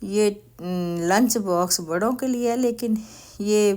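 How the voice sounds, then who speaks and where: A woman's plain, everyday voice with ordinary pitch variation, in a very clean recording with a silent background. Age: 60s. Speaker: grandmother vlogger. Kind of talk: shopping vlog. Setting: store.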